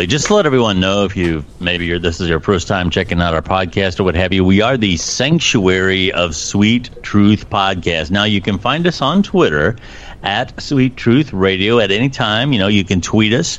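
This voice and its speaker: A man speaks at a moderate pace in a fairly low pitch, with ordinary pitch variation, hardly any pauses, and noticeable background noise. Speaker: podcast co-host. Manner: polished, studio-like delivery.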